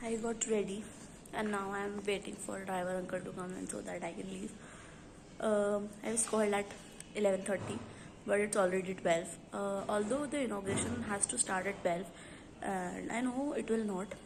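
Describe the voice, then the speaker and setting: Audible room echo and noticeable background noise surround a woman with an Indian accent. She talks at a moderate pace, at medium pitch with ordinary pitch variation. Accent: Indian English, Hindi-speaking. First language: Hindi. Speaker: vlogger. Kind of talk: casual vlog talk.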